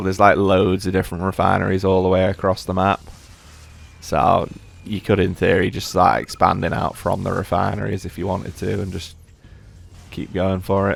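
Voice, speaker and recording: A man speaks with a very deep, low pitch. His intonation is monotone and flat, with music in the background. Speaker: gaming commentator. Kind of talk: gameplay commentary. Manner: casual, filler-heavy; halting, stuttering.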